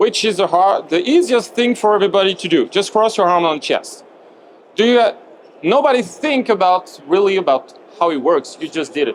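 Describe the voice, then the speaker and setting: His high-pitched voice carries lively intonation as the man talks. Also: moderate pace. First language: French. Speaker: movement coach presenter. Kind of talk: lecture. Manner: halting.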